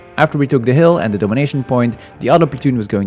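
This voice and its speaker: A man with lively intonation, music in the background. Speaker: airsoft player, platoon leader. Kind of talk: voice-over commentary.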